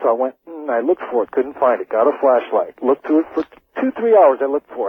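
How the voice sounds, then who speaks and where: Using lively intonation, a man talks very fast in a fairly high pitch. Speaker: radio caller. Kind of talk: call-in ghost story. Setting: phone line.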